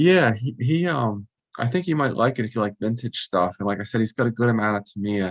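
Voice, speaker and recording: Soft-spoken and quick, at a fairly fast clip, the voice carries lively intonation in a dry, close sound with no echo. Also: man. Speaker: RC hobbyist and video maker. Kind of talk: casual chat. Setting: video call.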